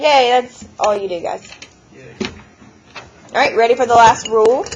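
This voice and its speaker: Against noticeable background noise, a woman speaks in an animated tone at a high pitch and moderate pace, with ordinary pitch variation. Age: 30s. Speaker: math teacher. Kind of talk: classroom lesson. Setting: classroom with students.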